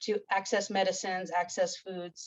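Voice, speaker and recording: A woman speaks with an American accent at a medium pitch. The sound is dry and close with no echo. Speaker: ethnobotany instructor. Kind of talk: conference presentation.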